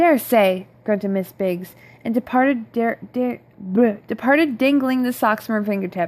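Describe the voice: What we hear is plain reading aloud.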